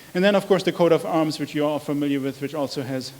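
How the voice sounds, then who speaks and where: A man with a German accent and a fairly high pitch for a man. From Germany. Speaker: researcher. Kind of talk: lecture. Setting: public talk with projector. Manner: halting, many fillers.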